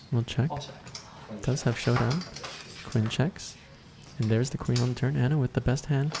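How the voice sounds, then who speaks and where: A man's voice sits at a middling pitch and rises and falls in an ordinary way, with noticeable noise in the background. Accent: Canadian. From Canada. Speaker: poker stream host and commentator. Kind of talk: live commentary. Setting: live stream, next room to the players.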